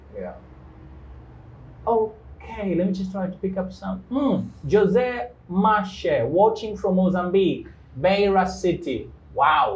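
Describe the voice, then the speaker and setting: Speaking with a Congolese accent at a very slow pace, the voice leaves long, frequent pauses amid audible room echo. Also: man. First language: Kikongo. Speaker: English teacher, live show host. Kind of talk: live-stream interview. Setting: studio, live stream.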